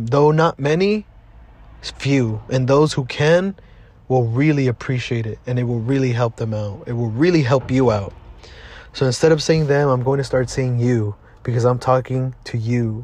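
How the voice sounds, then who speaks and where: In an American accent, a man speaks at a moderate pace with a medium pitch, a somewhat breathy quality and ordinary pitch variation. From Southeast Los Angeles. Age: 20s. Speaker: podcast host. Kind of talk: casual monologue. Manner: casual, lots of fillers.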